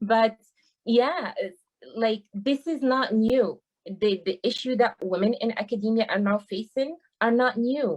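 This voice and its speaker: A woman speaks with a strong non-native accent at a fairly high pitch. Her pitch varies in an ordinary way. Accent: thick foreign. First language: not English. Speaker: university teaching assistant. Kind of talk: panel discussion.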